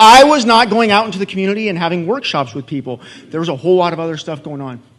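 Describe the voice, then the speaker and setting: A man with an American accent speaks at a fairly quick pace. There is noticeable background noise. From Inland Empire, Southern California (Ontario). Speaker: city economic development official. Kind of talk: conference presentation.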